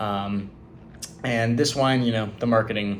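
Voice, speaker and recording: A man in a Californian accent talks at a moderate pace with monotone, flat intonation amid audible room echo. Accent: General American (Californian). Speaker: student. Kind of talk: class presentation. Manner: halting, many fillers.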